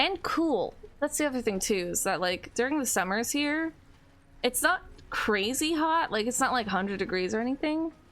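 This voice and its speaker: At a moderate pace, a woman with a strong Californian accent talks in very wide pitch swings. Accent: heavy Californian. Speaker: gaming streamer. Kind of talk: casual gameplay livestream chat. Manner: frequent um and like fillers.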